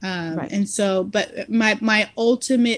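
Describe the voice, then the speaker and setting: Fairly high in pitch with ordinary variation, a woman talks in a plain, everyday voice. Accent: American. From Irving, Texas (Dallas area). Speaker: convert to Islam, healthcare worker. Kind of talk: interview testimony.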